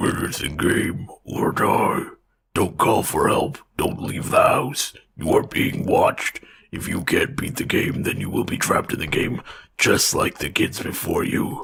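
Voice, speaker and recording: A man's whispering, raspy, put-on character voice at a moderate pace. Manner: demonic whisper.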